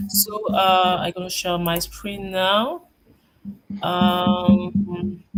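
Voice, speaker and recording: The speech moves at a very slow pace with long, frequent pauses, and music plays in the background. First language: not English. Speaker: web app builder attending office hours. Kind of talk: casual tech support chat. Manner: halting.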